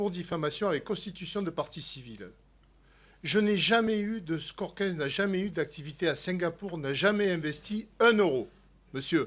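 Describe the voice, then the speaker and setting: A man talks at a fairly slow pace with lively intonation, captured on a very clean recording against a silent background. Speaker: sports federation official. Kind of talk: parliamentary hearing testimony. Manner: loud.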